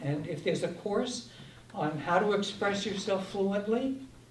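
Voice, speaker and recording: A man with a high-pitched voice talks at a fairly slow pace, with noticeable background noise and audible room echo. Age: 70s. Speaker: ballot question advocate. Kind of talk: public forum discussion. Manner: conversational.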